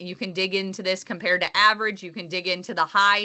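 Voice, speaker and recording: A woman's voice at a medium pitch with fairly even intonation. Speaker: agronomist. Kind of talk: webinar presentation. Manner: fast.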